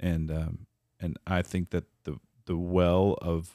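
A very deep, low male voice in an American accent, dark and mellow in tone, with fairly even intonation, a dry, close sound with no echo and a very clean recording over a silent background. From Minnesota. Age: 40s. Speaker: father and churchgoer. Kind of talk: casual chat, faith testimony.

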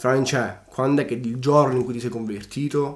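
A man's voice with fairly even intonation. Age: 20s. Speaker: barber. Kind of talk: testimony. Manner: halting.

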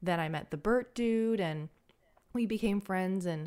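A woman speaks at medium pitch with a Canadian accent and lively intonation, using a normal speaking voice. She talks at a moderate pace in a very clean recording with a silent background. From Canada. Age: 20s. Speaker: Twitch streamer and content creator. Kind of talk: casual interview chat.

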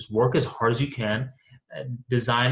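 A man's voice is somewhat breathy, at a medium pitch. He talks at a moderate pace. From Bangladesh, moved to US at five. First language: Bengali. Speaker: communications coach. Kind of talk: interview.

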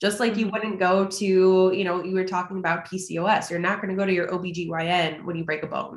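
With a plain, everyday voice, a woman speaks at a fairly quick pace and medium pitch, her intonation fairly even. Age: 20s. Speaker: podcast host. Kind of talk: casual interview. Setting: video call.

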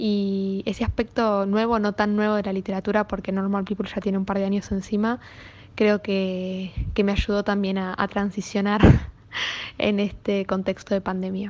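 The woman's pitch sits in the medium range. Her intonation stays monotone and flat. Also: moderate pace, quiet background. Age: young. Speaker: book editor. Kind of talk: recorded book recommendation.

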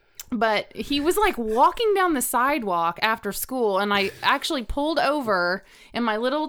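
The speaker talks at a moderate pace with very wide swings in pitch. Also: woman. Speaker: dietitian; guest. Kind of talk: casual chat.

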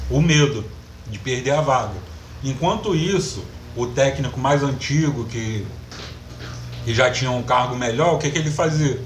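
With noticeable background noise and audible room echo, a man speaks at medium pitch and a fairly slow pace, with long, frequent pauses. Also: ordinary pitch variation. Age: 30s. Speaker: podcast co-host. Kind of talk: casual chat.

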